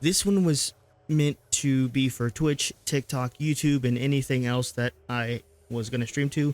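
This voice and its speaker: Dry and close with no echo, a man's medium-pitched voice moves at a fairly slow pace with fairly even intonation. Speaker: gaming streamer. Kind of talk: gameplay commentary outro. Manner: monotone; casual, hesitant with fillers.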